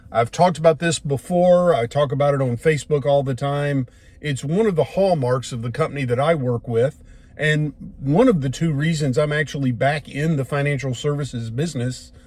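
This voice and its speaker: A man with an American accent, relaxed and somewhat breathy, fairly high in pitch with ordinary variation, at a fairly quick pace. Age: old. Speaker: retired bomb disposal officer turned financial services agent. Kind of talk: casual talk to camera, filmed in car. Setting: recorded inside a moving car. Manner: relaxed, conversational, rambling.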